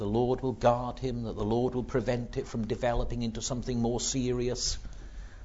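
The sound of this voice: The speaker reads in an unforced reading voice.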